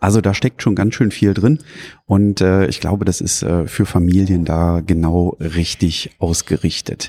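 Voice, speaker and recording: A man with a Rhineland accent speaks at a fairly slow pace in a very deep, low pitch. His tone is dark and mellow, with ordinary pitch variation. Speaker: board game podcaster. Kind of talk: casual chat. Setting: on location at a press event.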